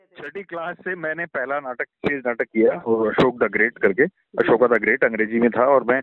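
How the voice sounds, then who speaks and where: A man has a plain, everyday voice at a medium pitch. His pitch variation is ordinary. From Faridabad, Haryana (Garhwali family). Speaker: theatre director and actor. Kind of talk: interview.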